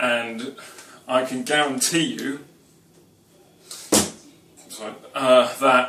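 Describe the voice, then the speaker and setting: A man's fairly even voice, with audible room echo and light background noise. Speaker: home cooking show host. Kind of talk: casual vlog chat. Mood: wry self-mocking humour. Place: kitchen. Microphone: camera far.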